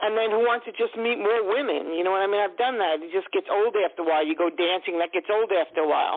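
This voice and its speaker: Talking at a very fast pace, a woman uses a New York accent. Her pitch is medium, with ordinary variation. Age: 60s. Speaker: caller. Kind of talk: phone-in psychic reading.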